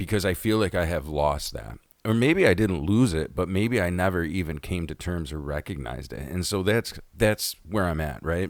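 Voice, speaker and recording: A man with an American accent speaks at a moderate pace in a very deep, low voice with vocal fry and lively intonation, on a very clean recording with a silent background. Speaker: podcast host. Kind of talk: casual monologue. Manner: halting, many fillers.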